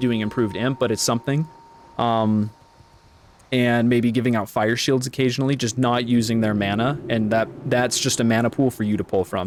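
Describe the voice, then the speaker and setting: A man's medium-pitched voice at a fairly quick pace, fairly even in intonation, with noticeable background noise. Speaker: video game streamer. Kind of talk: casual gaming stream talk. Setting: live stream. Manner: fast.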